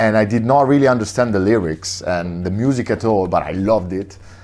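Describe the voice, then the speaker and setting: A man with an Italian accent. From Italy, Monza near Milan. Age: 30s. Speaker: record shop owner and DJ. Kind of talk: interview monologue. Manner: halting, many fillers.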